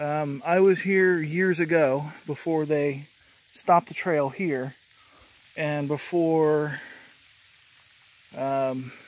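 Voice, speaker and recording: With long, frequent pauses, a man speaks at a very slow pace and with fairly even intonation in a dry sound with no echo. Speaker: hiker vlogger. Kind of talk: casual vlog chat. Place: forest. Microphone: phone near.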